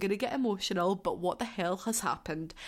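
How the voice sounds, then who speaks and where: Speaking at a fairly quick pace with a Scottish accent, a woman uses lively intonation at medium pitch in a very clean recording with a silent background. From Scotland. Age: 20s. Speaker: podcast host, care worker with young people. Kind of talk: casual solo chat. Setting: home living room. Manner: animated.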